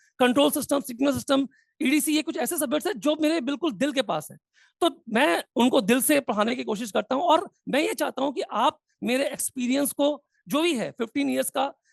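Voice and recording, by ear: Extremely high-pitched for a man, this voice carries vocal fry and ordinary pitch variation at a fairly quick pace. The sound is dry and close, with no echo.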